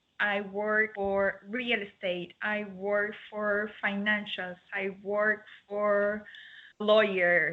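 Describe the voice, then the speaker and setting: A woman's medium-pitched, monotone, flat delivery at a very slow pace, with an Argentine accent. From Argentina. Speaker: dog grooming salon owner. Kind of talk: interview. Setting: video call.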